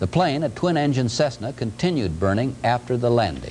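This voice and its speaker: Over noticeable background noise, a man speaks at a fairly quick pace with lively intonation. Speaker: television news anchor. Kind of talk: local TV newscast anchor read. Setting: vintage 1978 broadcast recording.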